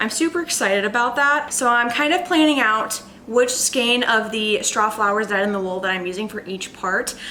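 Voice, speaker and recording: With hardly any pauses, a woman talks at a moderate pace in a fairly high pitch and lively intonation, with noticeable background noise behind her. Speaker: knitting podcaster. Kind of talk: casual chat. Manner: animated.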